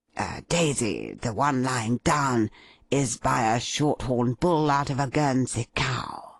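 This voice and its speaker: In a raspy put-on character voice, a man speaks at a medium pitch and a fairly slow pace, with fairly even intonation, very even loudness and a dry, close sound with no echo. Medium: read story. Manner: pompous, fussy.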